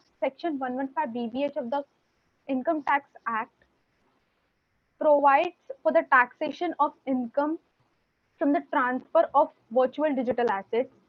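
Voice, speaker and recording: A woman's high voice with fairly even intonation, a moderate pace, and long, frequent pauses. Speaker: law student mooting as counsel. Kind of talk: moot court oral argument. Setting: video call. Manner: formal; hesitant, with fillers. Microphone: too quiet.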